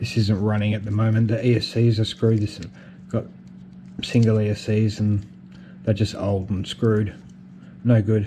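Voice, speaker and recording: A man with an Australian accent speaks at a moderate pace in a fairly low, dark, mellow and somewhat breathy voice. His intonation stays fairly even, broken by long, frequent pauses. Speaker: FPV drone hobbyist. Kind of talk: casual talk to camera. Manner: hesitant, repeats words.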